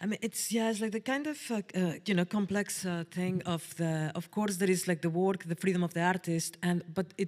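At a fairly low pitch, a woman speaks with a slightly mellow tone and ordinary pitch variation. Her pace is fairly quick.

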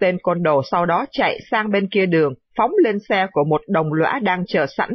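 With an ordinary speaking voice at medium pitch, a woman talks with lively intonation. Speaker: radio news presenter. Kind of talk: news reading.

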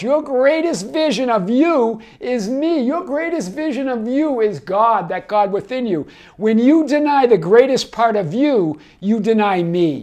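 Against a quiet background, a man with a Boston accent speaks at a fairly slow pace, his pitch swinging very widely. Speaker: life coach. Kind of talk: casual talk to camera. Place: home room. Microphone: lapel.

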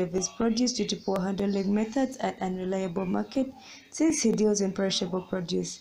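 Her voice is dark, mellow and somewhat breathy at a medium pitch, as the woman talks fairly quickly with ordinary pitch variation and very even loudness. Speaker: student competition pitch team member. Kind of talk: competition pitch.

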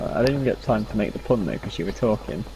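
Over noticeable background noise, this man rattles off his words very fast. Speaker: gaming co-op partner. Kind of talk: casual gameplay chat.

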